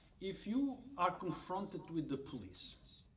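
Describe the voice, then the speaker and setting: A man at a moderate pace with very wide pitch swings, amid audible room echo. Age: 60s. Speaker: reporter. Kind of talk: interview.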